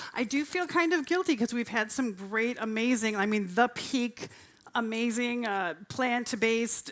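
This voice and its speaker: A woman talks loudly at a fairly high pitch, her tone bright and sharp. The recording is very clean, with a silent background. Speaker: vegan cooking demo presenter. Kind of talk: live cooking demo talk. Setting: stage with audience at festival. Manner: energetic. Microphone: handheld mic, told to speak quieter.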